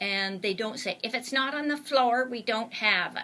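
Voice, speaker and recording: A woman with a Canadian accent, a bright, sharp tone, lively intonation and a moderate pace. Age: 60s. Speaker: author and blogger. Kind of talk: interview. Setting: studio.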